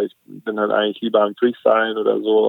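This man has a fairly low pitch and an unremarkable speaking voice. He talks at a moderate pace. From southern Germany, Lake Constance. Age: 20s. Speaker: kitesurfer and content creator. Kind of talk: casual chat.

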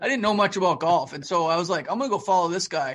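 A man with a Canadian accent at a very fast pace against a quiet background. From Calgary, Alberta, Canada. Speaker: stop motion animator. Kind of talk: casual interview chat. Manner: animated.

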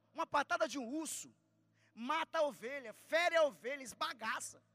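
A raised, projected voice with an animated tone, bright and sharp, moving at a fairly quick pace with ordinary pitch variation in a dry, close recording with no echo. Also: man. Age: 30s. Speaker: preacher. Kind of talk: sermon. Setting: church.

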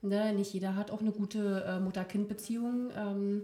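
A woman of medium pitch speaks at a fairly slow pace. Her voice is somewhat breathy, with a dark, mellow tone. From near Berlin. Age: 30s. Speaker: occupational therapist. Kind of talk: casual chat. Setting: living room. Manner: halting, many fillers.

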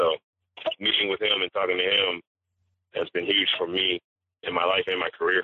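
A man speaking at a fairly quick pace, broken by long, frequent pauses. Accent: American. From Los Angeles. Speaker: actor and playwright. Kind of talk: casual interview.

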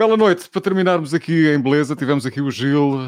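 Here a man with a plain, everyday voice speaks at a moderate pace. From Portugal, Alentejo roots. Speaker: radio host running a live online talk show. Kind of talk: live-streamed casual interview. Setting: live stream with video call guests.

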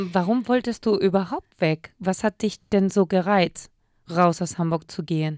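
At a fairly slow pace, a woman speaks in a plain, everyday voice with a medium pitch, the sound dry and close with no echo and the recording very clean over a silent background. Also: ordinary pitch variation. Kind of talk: casual radio show banter, Spanish and German. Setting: radio studio.

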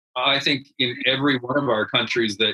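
A man with a Canadian accent and a normal speaking voice, medium in pitch, at a fairly quick pace with fairly even intonation. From rural Canada. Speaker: head teacher. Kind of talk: interview.

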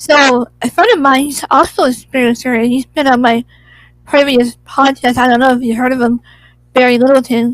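Recorded dry and close with no echo, a woman with an American accent speaks at a moderate pace in a high pitch with fairly even intonation. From Southern California. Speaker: podcast host. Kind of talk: casual interview. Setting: video call.

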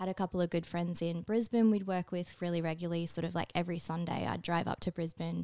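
On a very clean recording with a silent background and a dry, close sound free of echo, a woman talks very fast in a fairly low, dark, mellow voice, monotone and flat, with hardly any pauses. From rural Australia. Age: 30s. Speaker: tattoo artist. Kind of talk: casual interview. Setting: studio.

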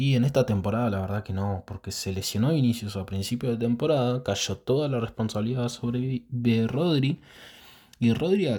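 A man's dark, mellow voice in a Rioplatense accent, at a moderate pace with ordinary pitch variation. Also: very clean recording, silent background. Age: 20s. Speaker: football podcast host. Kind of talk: casual solo commentary.

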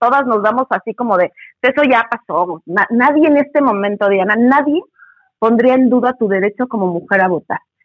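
This woman has a plain, everyday voice. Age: 40s. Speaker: feminist educator. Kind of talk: interview.

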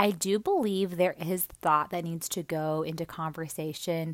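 Heard in a very clean recording with a silent background, a woman speaks at a fairly low pitch with ordinary pitch variation. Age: 30s. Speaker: solo podcast host. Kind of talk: casual solo monologue. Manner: hesitant, thinking aloud.

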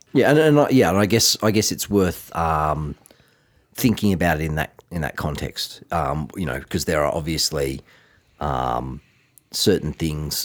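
This man has a very deep, low pitch and vocal fry, with an Australian accent. He talks at a fairly slow pace with ordinary pitch variation. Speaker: finance podcast co-host. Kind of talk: casual chat.

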